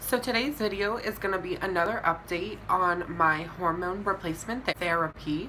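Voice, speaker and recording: Here is a woman with a plain, everyday voice at medium pitch. She uses ordinary pitch variation at a moderate pace. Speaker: vlogger. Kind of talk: video diary update. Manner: casual, with fillers.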